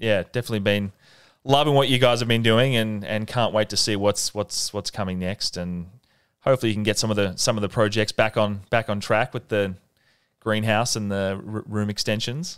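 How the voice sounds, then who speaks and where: In an Australian accent, a man with a fairly low pitch talks at a fairly quick pace with fairly even intonation, in a dry, close sound with no echo on a very clean recording with a silent background. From Melbourne, Australia. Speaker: podcast host. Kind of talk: interview. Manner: halting.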